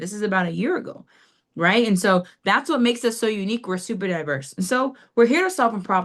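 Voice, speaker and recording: A woman at a very fast pace, energetic in tone, with lively intonation against a quiet background. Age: 30s. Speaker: financial services agent. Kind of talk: business presentation on video call. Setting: video call.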